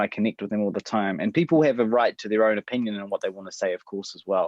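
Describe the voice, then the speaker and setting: Someone with a New Zealand accent talks at a very fast pace. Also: man. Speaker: adoptee. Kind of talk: interview.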